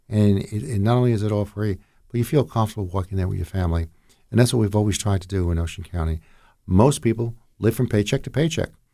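Speaking very fast with a New Jersey accent, a man has a dark, mellow tone, fairly low pitch and ordinary pitch variation, on a very clean recording with a silent background. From northern New Jersey, Jersey City. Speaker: county commissioner. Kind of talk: radio interview.

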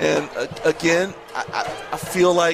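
Music plays in the background. Over it, a man talks at a high pitch. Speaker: color commentator. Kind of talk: live sports commentary, color analysis. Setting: broadcast booth at a football stadium. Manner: measured, explanatory, analytical.

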